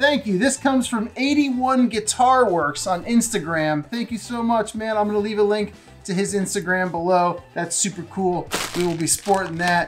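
A man with a high voice speaks at a moderate pace. His pitch varies in an ordinary way over faint background music. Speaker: podcast gear youtuber. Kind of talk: casual vlog chat. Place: home room.

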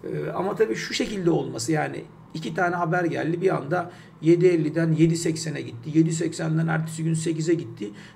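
Light background noise sits under a man speaking at a fairly high pitch and fairly slow pace with ordinary pitch variation. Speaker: financial markets commentator; market commentator. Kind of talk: market analysis talk. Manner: hesitant with many fillers; unedited one-take delivery. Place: home room. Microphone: webcam.

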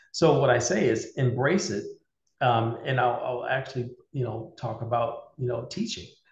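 The voice is somewhat breathy, with ordinary pitch variation at a moderate pace. Room echo is audible. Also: man. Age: 50s. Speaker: cybersecurity leader and military veteran; interview guest. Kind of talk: interview. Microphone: video call.

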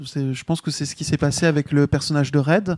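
Ordinary pitch variation comes through in a dry, close sound with no echo. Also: man. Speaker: game designer. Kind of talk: casual discussion.

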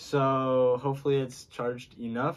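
This man speaks with fairly even intonation. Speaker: vlogger. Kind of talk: casual unboxing chat. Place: home room. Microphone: phone near.

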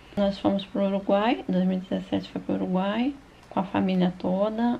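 Somewhat breathy and with a dark, mellow tone, a woman speaks at a moderate pace in a medium pitch. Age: 50s. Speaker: YouTuber, retired veterinarian. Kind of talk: personal life story narrated over photos.

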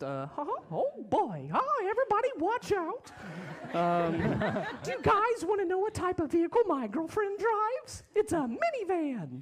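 A put-on character voice at an extremely high pitch goes at a fairly slow pace over clear background noise. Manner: cheerful, cartoonish.

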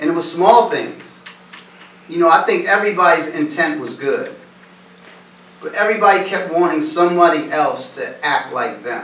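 A speaker with an American accent talks at a moderate pace, with long, frequent pauses. Room echo is audible. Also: man. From US Northeast, East Hartford, Connecticut; Connecticut. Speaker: motivational speaker. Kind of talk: talk to students. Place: classroom. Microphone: camera far.

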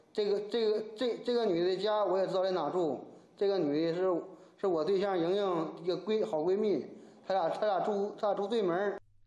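A man with a high pitch talks at a fairly quick pace, his intonation fairly even and his loudness very even, with audible room echo around him. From Gaizhou, Liaoning, Northeast China; Liaoning. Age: 30s. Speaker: fraud victim, sailor. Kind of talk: interview testimony. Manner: halting, repetitive. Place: office.

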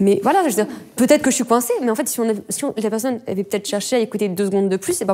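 A very fast pace and ordinary pitch variation over a quiet background. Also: woman. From northern France. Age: 20s. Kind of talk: casual chat. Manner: casual. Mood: animated, slightly indignant. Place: home room.

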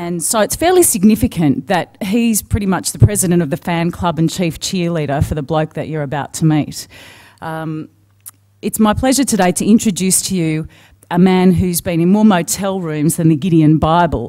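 Against a quiet background, a woman speaks in a fairly low pitch with a dark, mellow tone and ordinary pitch variation. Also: moderate pace. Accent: Australian. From Australia. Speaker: TV news anchor, moderator. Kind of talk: speaker introduction at a conference. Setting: conference stage with audience. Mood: warm, lightly humorous. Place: hall. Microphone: podium.

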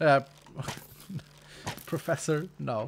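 A man with a Swedish accent, against noticeable background noise. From Sweden. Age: 40s. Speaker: gaming streamer. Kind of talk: live stream chat while gaming. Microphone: studio mic.

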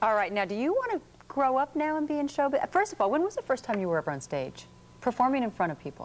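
Talking at a very fast pace, a woman with a high pitch makes very wide pitch swings. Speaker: TV show host. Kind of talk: interview questions. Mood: warm, upbeat. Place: studio.

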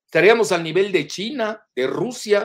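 A man is speaking. His pitch swings very widely. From Mexico, Yucatán. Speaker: political analyst. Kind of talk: interview.

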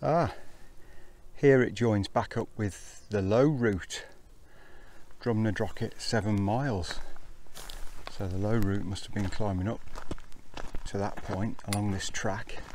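Over light background noise, a man with a fairly low voice speaks fairly slowly with ordinary pitch variation and long, frequent pauses, the sound dry with no echo. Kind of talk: casual vlog chat. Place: open country. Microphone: phone near.

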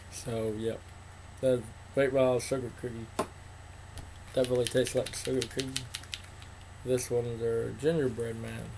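Noticeable background noise runs under a man speaking with a Southern US accent. He keeps a moderate pace but leaves long, frequent pauses. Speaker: vape reviewer, YouTuber. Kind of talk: product review vlog. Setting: home, on camera. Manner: many fillers, casual. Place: home room. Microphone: webcam.

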